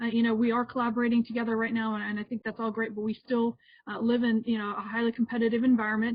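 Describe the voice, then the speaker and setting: A woman's fairly high-pitched voice with monotone, flat intonation. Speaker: healthcare consultant. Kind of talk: webinar presentation. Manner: fast.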